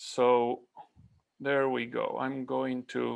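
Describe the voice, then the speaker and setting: This man has an Argentine accent. He speaks at a very slow pace. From Argentina. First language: Spanish. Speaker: climate scientist. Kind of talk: conference presentation.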